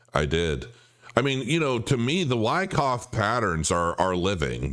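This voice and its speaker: A man's lively intonation rises and falls at a moderate pace amid noticeable background noise. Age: middle-aged. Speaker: crypto livestream host. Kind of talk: live stream chat reading viewer comments. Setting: live stream.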